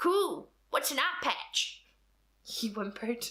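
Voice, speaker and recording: A woman speaks in a raised, projected voice, high-pitched with very wide swings in pitch. Noticeable background noise sits behind her. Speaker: comedian. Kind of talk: comedic reading of fan fiction with commentary.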